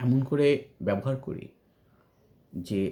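This man sounds somewhat breathy. A dark, mellow tone colors his voice. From rural Bangladesh. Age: 50s. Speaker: educator and writer. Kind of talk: monologue vlog. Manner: halting with frequent pauses.

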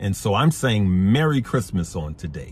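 A man's somewhat breathy, very deep voice, dry with no echo, over light background noise. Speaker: investing channel host. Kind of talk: casual vlog chat. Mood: earnest, upbeat, then preachy. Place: car. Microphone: phone near.

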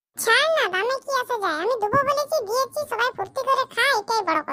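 A woman's squeaky, cartoonish character voice, extremely high in pitch, with lively intonation at a moderate pace. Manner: whiny, joking.

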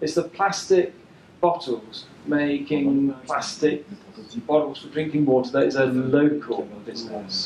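Noticeable background noise runs under very slow speech that has ordinary pitch variation. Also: man. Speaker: environmental researcher. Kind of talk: presentation talk.

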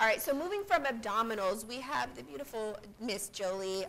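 A woman speaks at a moderate pace with lively intonation. Her tone is fairly bright and her pitch fairly high.

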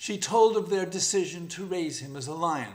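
What you hear is an unforced reading voice.

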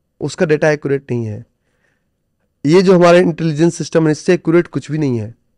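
A man's fairly high voice, ordinary in its pitch variation, in a dry sound with no echo. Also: long, frequent pauses, big swings in loudness, quiet background. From India. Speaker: stock trader and trading coach; podcast guest, coach. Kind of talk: interview conversation. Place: studio. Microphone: studio mic.

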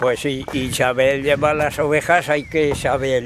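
Words come at a very slow pace in a dry recording with no echo and noticeable background noise. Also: man. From Spain. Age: old. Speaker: retired shepherd. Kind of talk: casual chat. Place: open country.

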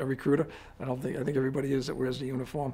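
With a Boston accent, a man speaks at a fairly high pitch. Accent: Boston-area. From Quincy, Massachusetts; Massachusetts. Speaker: army general and state police officer. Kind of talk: interview. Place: office.

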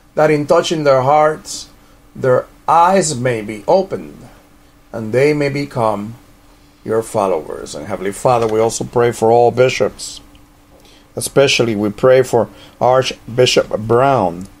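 Over noticeable background noise, a man with a medium pitch speaks at a fairly slow pace with lively intonation and long, frequent pauses. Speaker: prayer leader of a religious order's radio ministry. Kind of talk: fervent intercessory prayer, petitioning God for the persecuted and clergy. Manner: earnest, pleading cadence with repeated invocations of Heavenly Father; slips into casual, rambling asides when giving practical instructions.

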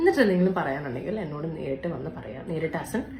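A woman with a low pitch and slightly mellow tone talks at a very fast pace with big pitch swings, amid audible room echo.

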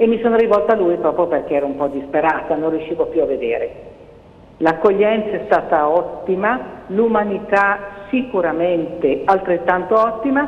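Over noticeable background noise and audible room echo, a woman speaks at a moderate pace in a medium pitch with lively intonation. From northern Italy, Cremona. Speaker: doctor. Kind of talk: testimony.

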